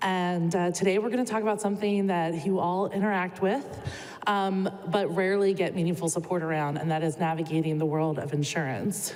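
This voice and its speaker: Noticeable background noise and audible room echo around a woman with ordinary pitch variation. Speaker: clinical social worker. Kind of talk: conference presentation. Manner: many filler words.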